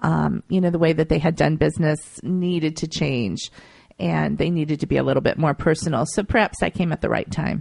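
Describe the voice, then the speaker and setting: Someone with an American accent speaks at a fairly quick pace, in a dry, close sound with no echo. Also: woman. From Ohio, US Midwest. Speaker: PR founder. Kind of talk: radio interview.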